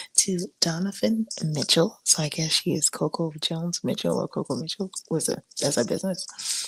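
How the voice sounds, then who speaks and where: A woman speaks at a moderate pace in a somewhat breathy, fairly low voice, recorded dry and close with no echo. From Africa. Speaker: podcast host. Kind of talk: casual chat. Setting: live stream. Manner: casual, halting.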